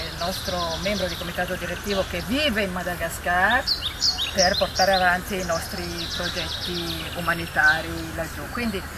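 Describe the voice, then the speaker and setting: A woman talks at a moderate pace against loud background noise. The sound is dry, with no echo. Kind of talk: ceremonial speech. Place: garden. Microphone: camera far.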